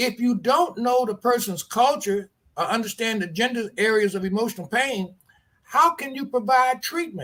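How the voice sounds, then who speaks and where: Extremely high for a man, this bright, sharp voice keeps a moderate pace with ordinary pitch variation. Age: 70s. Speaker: addiction treatment program leader. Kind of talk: interview. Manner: halting, repeats words.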